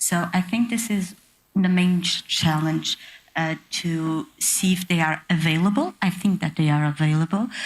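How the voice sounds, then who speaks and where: With a Portuguese accent, a woman speaks at a fairly low pitch with ordinary pitch variation and a moderate pace. Her voice is somewhat breathy, and her loudness stays very even. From Portugal. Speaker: panelist. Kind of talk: conference panel discussion. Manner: halting.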